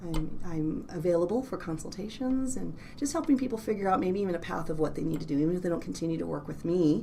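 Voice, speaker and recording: At a very fast pace, a woman with a fairly low pitch and lively intonation speaks amid audible room echo. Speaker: clinical psychologist. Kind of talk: casual interview chat. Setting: office.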